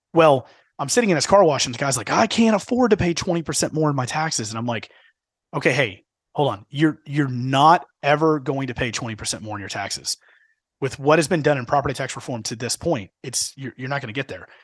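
An unremarkable speaking voice from a man with an American accent, fairly high in pitch, at a fairly quick pace with lively intonation and big swings in loudness, against a quiet background. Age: 30s. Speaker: podcast co-host on local government finance. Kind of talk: casual chat.

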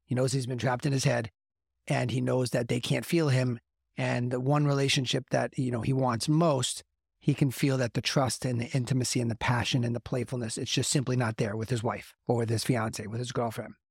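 Somewhat breathy, a man talks at a fairly quick pace with fairly even intonation. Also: medium pitch for a man. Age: 50s. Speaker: men's coach and podcast host. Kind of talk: motivational monologue.

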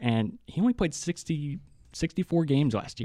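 A man's dark, mellow voice over a quiet background. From West Virginia, Hurricane. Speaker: student podcast co-host. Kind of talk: casual sports chat. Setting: studio.

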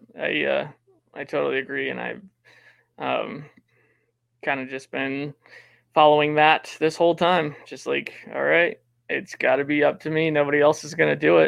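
A man speaks with big swings in loudness and long, frequent pauses. The background is quiet. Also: moderate pace. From Wyoming, US. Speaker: DJ and music producer. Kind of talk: interview.

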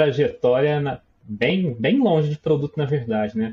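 The speaker is a man. There is a somewhat breathy sound to his voice. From Minas Gerais, Brazil. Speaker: product manager. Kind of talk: casual interview chat.

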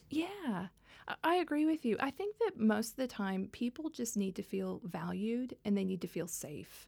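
Over a silent background on a very clean recording, a woman with a fairly high, somewhat breathy voice swings her pitch very widely at a moderate pace. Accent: American. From Texas (Dallas). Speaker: tech policy executive. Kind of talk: interview.

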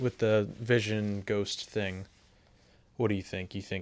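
Here a man talks with an American accent. His voice is fairly low in pitch. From US South. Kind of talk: casual chat.

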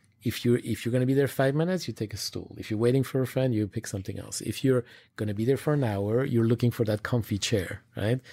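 With a dark, mellow tone and medium pitch, a man talks at a very fast pace with ordinary pitch variation on a very clean recording with a silent background. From Switzerland. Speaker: retail design executive. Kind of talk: interview. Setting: recorded on location. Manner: halting, many fillers.

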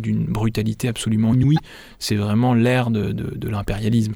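Fairly quick, flat, monotone speech from a man at a medium pitch. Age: 30s. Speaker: investigative journalist and author. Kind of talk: interview. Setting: studio. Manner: halting, frequent repetitions.

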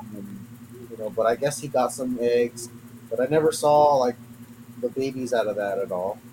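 A man's fairly even intonation with long, frequent pauses, over noticeable background noise. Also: medium pitch for a man, moderate pace. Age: 30s. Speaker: reptile keeper and breeder. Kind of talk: casual chat.

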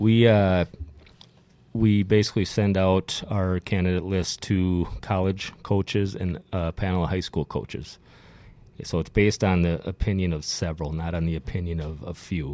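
Speaking with an Upper Midwest accent, a man uses a very deep, low pitch, a dark, mellow tone, fairly even intonation and a moderate pace. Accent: Upper Midwest American. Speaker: former hockey player. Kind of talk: casual chat.

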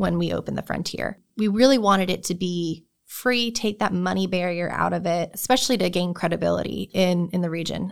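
Fairly quick pace from a woman with an American accent and a plain, everyday voice, medium pitch and fairly even intonation, on a very clean recording with a silent background. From New Jersey. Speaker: research park programming director. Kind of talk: interview. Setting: studio.

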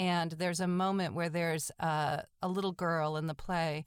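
A woman with an American accent speaks in an ordinary speaking voice, fairly low in pitch with fairly even intonation. The recording is very clean, with a silent background. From Massachusetts, North Shore of Boston. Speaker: theatre director. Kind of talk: interview.

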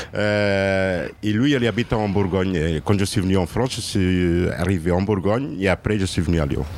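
This man has a very deep, low pitch and ordinary pitch variation. He speaks at a moderate pace with very even loudness. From Portugal. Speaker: person in precarity, restaurant user. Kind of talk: testimony. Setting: outdoors under a tent.

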